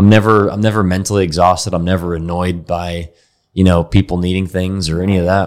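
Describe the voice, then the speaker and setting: Speaking fairly quickly with an American accent, a man delivers his words in a very deep, low pitch and a monotone, flat intonation. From Texas, Dallas. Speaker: company founder and CEO. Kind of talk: interview.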